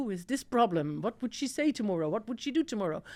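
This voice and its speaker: Lively intonation with a Dutch accent. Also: woman. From Netherlands. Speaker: tech executive. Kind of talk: podcast interview.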